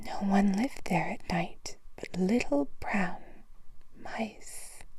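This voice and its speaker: Soft-spoken whispering delivered at a very slow pace. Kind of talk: ASMR bedtime story reading. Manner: whispered, soft.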